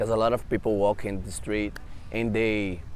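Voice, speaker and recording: A man with a Brazilian Portuguese accent. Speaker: interview guest. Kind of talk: casual interview chat. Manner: halting, non-native phrasing.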